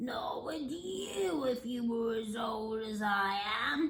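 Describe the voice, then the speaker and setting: A woman puts on a croaky character voice at a fairly high pitch, speaking at a very slow pace with lively intonation. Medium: read story. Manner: croaky, frail.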